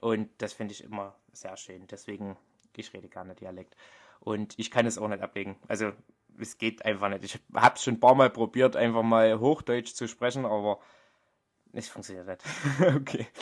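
A man's medium-pitched voice with a strong Vogtland accent, moderate pace, fairly even intonation, and big swings in loudness, on a very clean recording with a silent background. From Vogtland, Saxony, Germany. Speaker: podcaster and poet. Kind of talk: casual monologue.

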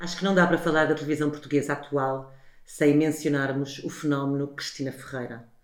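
Over noticeable background noise, a woman talks fairly quickly in a very deep, low voice with monotone, flat intonation. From Portugal. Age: 40s. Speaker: podcast host, television professional. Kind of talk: interview.

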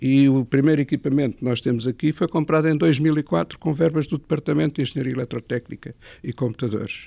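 Speaking very fast, a man has a dark, mellow tone. The sound is dry and close with no echo, on a very clean recording with a silent background. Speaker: retired engineering professor. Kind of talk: interview. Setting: satellite ground station room.

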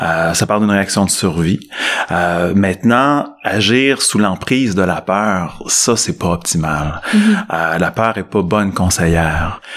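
A man speaks very slowly in a very deep, low pitch with ordinary pitch variation and very even loudness. Noticeable background noise is present. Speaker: psychologist and management professor. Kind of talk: interview.

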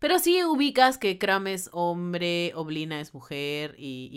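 A woman with a fairly low voice speaks at a fairly slow pace in an animated tone, with very wide pitch swings and big swings in loudness. The recording is very clean, the background silent. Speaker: podcast co-host. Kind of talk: casual chat.

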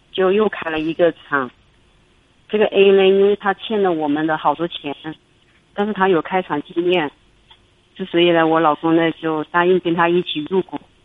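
Speaking at a moderate pace with long, frequent pauses, a woman has a fairly low pitch and fairly even intonation. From Hubei, China. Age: 40s. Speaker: caller, small factory owner. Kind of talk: radio call-in, personal problem.

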